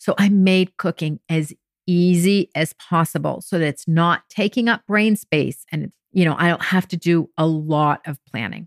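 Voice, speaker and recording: A woman with an American accent talks fairly slowly in an ordinary speaking voice, fairly low in pitch with ordinary pitch variation. The sound is dry and close, with no echo. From France and US. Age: 50s. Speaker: podcast host and weight loss coach. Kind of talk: solo podcast monologue.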